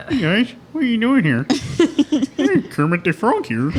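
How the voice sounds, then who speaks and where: A man puts on a character voice pitched extremely high, with very wide pitch swings. He goes at a moderate pace against clear background noise. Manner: cheerful greeting.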